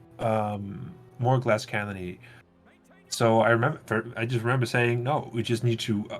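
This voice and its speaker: Music plays behind a man with a medium pitch. He talks at a fairly slow pace with fairly even intonation. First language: not English. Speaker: game mod developer. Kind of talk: casual chat. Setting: livestream.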